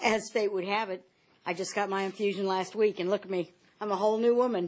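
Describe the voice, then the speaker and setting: This woman talks at a very fast pace in a medium pitch. Her intonation is monotone and flat. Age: 60s. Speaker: patient giving testimony, substitute teacher. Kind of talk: testimony. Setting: Senate panel hearing room.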